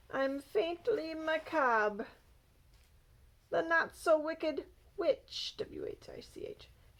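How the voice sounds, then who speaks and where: A woman puts on a character voice at an extremely high pitch. She goes very slowly, with long, frequent pauses. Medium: read story. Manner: gentle, kindly.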